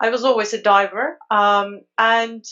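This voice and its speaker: A woman speaks in a Turkish accent. There is noticeable background noise. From Turkey. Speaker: underwater photographer. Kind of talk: casual chat.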